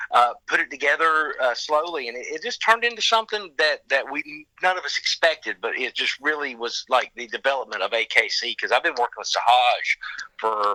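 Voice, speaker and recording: A man talks in a strong Southern US accent at a fairly quick pace. He leaves hardly any pauses, and the sound is dry and close with no echo. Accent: thick Southern US. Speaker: rock singer. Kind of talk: casual interview.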